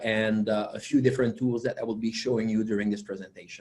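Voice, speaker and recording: With a French Canadian accent, a man talks in a dark, mellow tone, with audible room echo around him. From Quebec. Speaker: software company founder and conference presenter. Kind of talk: technical conference presentation. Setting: virtual webinar. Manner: hesitant with many fillers.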